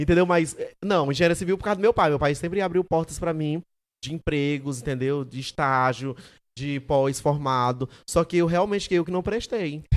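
An animated tone with ordinary pitch variation, on a very clean recording with a silent background. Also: man, fairly high pitch for a man, moderate pace. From Maranhão, Brazil (Santo Inês). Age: 20s. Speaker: digital content creator, comedian. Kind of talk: casual chat.

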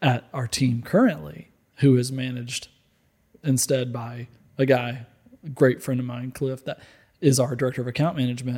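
A man speaks at medium pitch in a somewhat breathy, dark and mellow tone, with fairly even intonation. His pace is moderate, broken by long, frequent pauses. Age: 30s. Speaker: apparel company executive. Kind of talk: casual chat.

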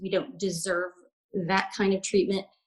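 A woman's somewhat breathy, medium-pitched voice with a Southern US accent and fairly even intonation. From US South, Alabama. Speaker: life coach. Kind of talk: casual interview chat.

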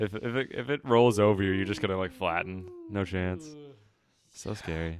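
A plain, everyday voice talks at a moderate pace. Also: man, fairly low pitch for a man, ordinary pitch variation. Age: 20s. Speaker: indie pop musician. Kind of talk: casual chat.

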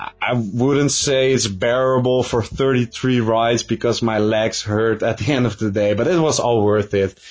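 A man with an unremarkable speaking voice talks at a medium pitch and a fairly slow pace. His intonation is fairly even, and he hardly pauses. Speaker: YouTube coaster reviewer. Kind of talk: recorded statement.

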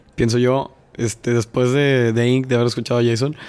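His speech is very fast. The man's medium-pitched voice keeps a monotone, flat intonation. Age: 20s. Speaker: podcast host. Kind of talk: casual interview chat.

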